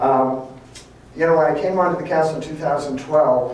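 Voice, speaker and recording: The voice shows ordinary pitch variation, with audible room echo and noticeable background noise. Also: man. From Philadelphia and South Jersey, US. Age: 60s. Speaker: city council candidate. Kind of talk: campaign speech at a seniors forum. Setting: room with live audience. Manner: conversational, hesitant with fillers.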